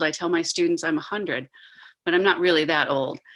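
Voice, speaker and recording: A woman's fairly low voice, an ordinary speaking voice, with fairly even intonation. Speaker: professor. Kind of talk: online panel discussion.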